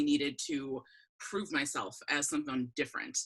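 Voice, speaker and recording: A woman's bright, sharp voice with an American accent. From Wisconsin, US Midwest. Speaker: guest sharing perspective on racial injustice. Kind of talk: casual interview chat. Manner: frequent fillers, conversational.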